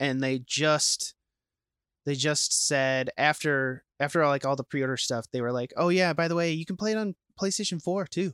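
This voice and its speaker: An unremarkable speaking voice comes from a man with an American accent and a fairly high pitch. He keeps a moderate pace and ordinary pitch variation, in a dry, close sound with no echo. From Minnesota (Saint Paul). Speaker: podcast co-host. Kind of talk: casual chat. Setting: home basement game room.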